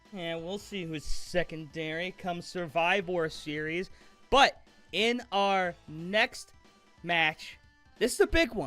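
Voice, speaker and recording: Music plays in the background. The speech comes at a very slow pace with ordinary pitch variation. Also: man, high pitch for a man. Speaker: amateur wrestling commentator. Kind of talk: wrestling commentary predictions.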